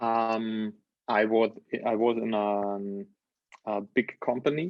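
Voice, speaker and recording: A man's medium-pitched voice, very slow and fairly even in intonation. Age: 30s. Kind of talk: interview. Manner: halting.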